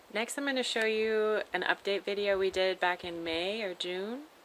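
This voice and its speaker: A woman with ordinary pitch variation. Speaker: vlogger building a tiny house. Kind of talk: casual video update. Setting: outdoors on a porch. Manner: slow, hesitant with many fillers.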